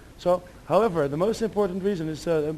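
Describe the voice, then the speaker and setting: Very fast speech in a dark, mellow tone carries ordinary pitch variation. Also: man. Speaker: demoscene speaker giving a talk. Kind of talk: lecture. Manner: halting.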